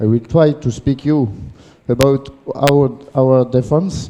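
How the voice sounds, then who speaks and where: Very slowly, a man speaks with a French accent, a dark, mellow tone and ordinary pitch variation. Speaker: handball coach educator. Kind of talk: lecture. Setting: conference with audience. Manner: halting.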